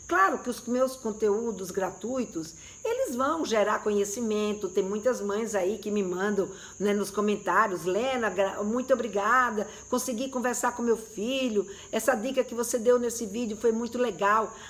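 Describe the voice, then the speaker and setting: At a fairly slow pace, a woman speaks with a fairly high pitch and ordinary pitch variation. Background noise is noticeable. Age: 60s. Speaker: sex educator. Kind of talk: live stream talk to viewers. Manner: conversational, hesitant fillers.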